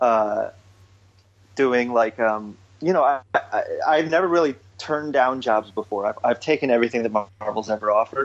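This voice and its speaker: A man speaks at a moderate pace and medium pitch in an ordinary speaking voice, with ordinary pitch variation and very even loudness. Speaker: comic book artist. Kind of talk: casual interview.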